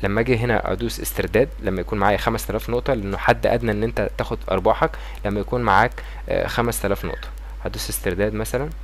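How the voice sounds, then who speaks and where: With a Cairo accent, a man talks at a very fast pace over noticeable background noise. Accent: Egyptian Arabic (Cairene). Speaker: YouTuber. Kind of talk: tutorial. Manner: casual.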